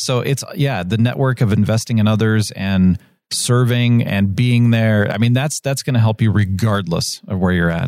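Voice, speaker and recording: With hardly any pauses, a man in an unremarkable speaking voice talks at a moderate pace and with ordinary pitch variation. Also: medium pitch for a man. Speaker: podcast host. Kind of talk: interview.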